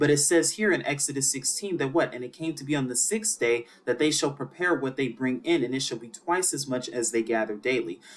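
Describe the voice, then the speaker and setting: A man talks at a fairly quick pace with hardly any pauses. His pitch is fairly high, with ordinary variation. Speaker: bible teacher. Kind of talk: scripture teaching lecture. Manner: fast.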